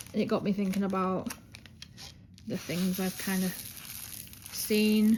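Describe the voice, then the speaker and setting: Over noticeable background noise, a woman speaks at a medium pitch in a monotone, flat intonation, at a fairly slow pace with long, frequent pauses. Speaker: diamond painting youtuber. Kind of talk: casual chat while crafting. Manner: loud; flat, subdued.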